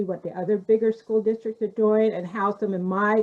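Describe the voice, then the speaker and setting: A woman's voice with fairly even intonation. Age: 60s. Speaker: paraeducator. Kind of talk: panel discussion. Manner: loud.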